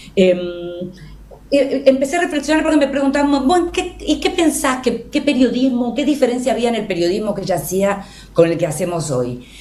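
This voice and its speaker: A woman with a high voice talks at a fairly quick pace with very wide pitch swings, over noticeable background noise and audible room echo. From Argentina. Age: 60s. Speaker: journalist and writer. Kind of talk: radio interview.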